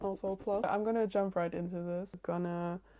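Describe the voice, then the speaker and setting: With a non-native accent, a woman speaks at a medium pitch in a dark, mellow tone. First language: not English. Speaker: book vlogger. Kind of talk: casual vlog. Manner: casual, filler-heavy.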